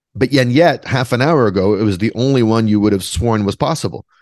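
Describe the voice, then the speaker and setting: Over a quiet background, a man with a Canadian accent speaks very fast in a fairly low pitch with lively intonation. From Western Canada, Vancouver. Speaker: author and composer. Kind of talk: interview conversation.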